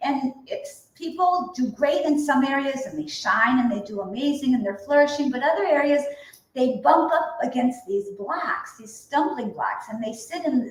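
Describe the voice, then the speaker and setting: A high-pitched woman talks at a moderate pace with hardly any pauses, in an animated tone with lively intonation and big swings in loudness. Noticeable background noise can be heard. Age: 60s. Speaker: energy healing coach. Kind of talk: casual interview chat. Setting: live stream video call.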